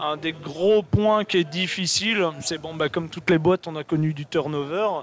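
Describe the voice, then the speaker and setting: A man with a fairly high pitch and a normal speaking voice talks at a moderate pace. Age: 40s. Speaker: software company developer. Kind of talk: casual chat. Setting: live stream at an event.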